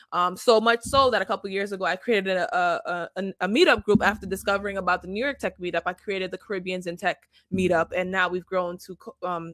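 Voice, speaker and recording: A woman's medium-pitched voice at a very fast pace, dry and close with no echo. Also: hardly any pauses. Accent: Jamaican. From Jamaica. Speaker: tech founder and event organizer. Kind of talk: online event introduction speech. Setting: online video event.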